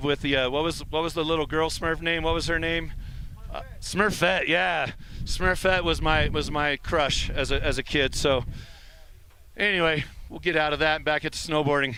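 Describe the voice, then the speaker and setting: At a moderate pace, a man with a plain, everyday voice and fairly high pitch keeps his intonation fairly even. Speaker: snowboard event commentator. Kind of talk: live commentary. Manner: casual, conversational.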